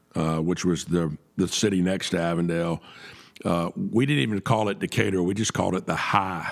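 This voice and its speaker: This man has a very deep, low voice and a Southern US accent. His pitch varies in an ordinary way. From US South, Atlanta, Georgia. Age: 60s. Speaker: podcast host. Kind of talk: interview. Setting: studio.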